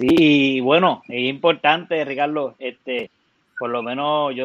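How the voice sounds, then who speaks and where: Fairly even intonation marks this man's delivery. He has a normal speaking voice with a fairly high pitch. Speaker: music school host. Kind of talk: interview.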